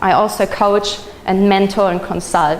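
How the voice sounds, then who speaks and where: A medium-pitched woman's voice with a German accent, over noticeable background noise. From Germany. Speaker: social media trainer. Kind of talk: presentation.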